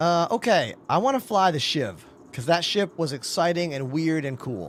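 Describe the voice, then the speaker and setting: An animated man with an American accent talks at a moderate pace, his high pitch moving in lively intonation. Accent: Boston accent slips into his speech. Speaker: video game streamer and drummer. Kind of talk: live gaming stream chat. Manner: casual, animated.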